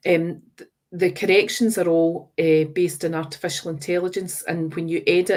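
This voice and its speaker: With a West of Scotland accent, a woman talks at a fairly low pitch in a monotone, flat delivery. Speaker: teacher trainer. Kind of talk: webinar presentation.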